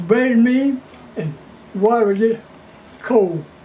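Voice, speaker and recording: A man with a high pitch talks at a fairly slow pace with ordinary pitch variation as noticeable background noise runs underneath. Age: 80s+. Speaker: blues musician. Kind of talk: interview answer.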